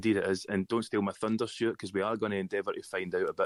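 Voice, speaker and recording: Against a silent background in a very clean, dry, close recording with no echo, a man with a Scottish accent talks at a very fast pace. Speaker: podcast host. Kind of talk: scripted intro; podcast chat.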